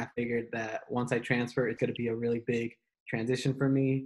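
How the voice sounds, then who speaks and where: In an American accent, a man delivers his words with monotone, flat intonation. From North Carolina. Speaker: university student; panelist. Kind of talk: casual chat. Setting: video call. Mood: calm, reflective storytelling. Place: home room. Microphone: video call.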